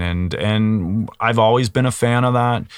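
Speaking very slowly in a Canadian Maritime accent, a man with a fairly low pitch and ordinary pitch variation is heard on a very clean recording with a silent background. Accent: Canadian Maritimes. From Nova Scotia, Canada. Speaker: cannabis industry consultant. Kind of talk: interview.

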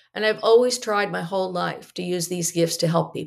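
A woman speaks with vocal fry. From US Northeast, New Jersey. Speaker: economist, company founder. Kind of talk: interview. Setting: video call.

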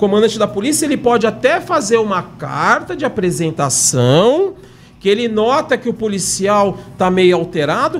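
A man's fairly slow speech. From São Paulo, Brazil. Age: 50s. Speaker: retired military police corporal. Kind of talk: casual chat. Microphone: too far from the mic.

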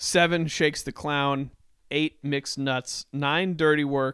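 A man with a normal speaking voice and fairly even intonation is heard on a very clean recording with a silent background, the sound dry and close with no echo. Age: 30s. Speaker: podcast co-host. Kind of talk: casual chat.

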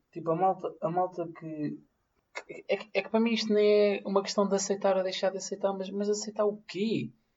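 This man's voice sits high for a male and runs at a fairly quick pace with monotone, flat intonation. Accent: Lisbon. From Portugal, Amadora area. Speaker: podcast co-host. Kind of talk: casual chat.

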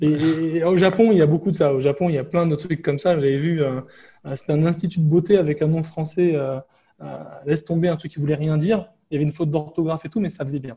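Speaking very fast, a man with a fairly high pitch keeps his intonation fairly even. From France. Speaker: digital nomad and IT security entrepreneur. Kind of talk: casual interview.

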